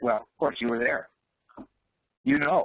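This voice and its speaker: Ordinary pitch variation marks a man's voice moving at a fairly quick pace. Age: 60s. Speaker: business leadership presenter. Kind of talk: webinar Q&A. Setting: online webinar. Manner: hesitant, many fillers.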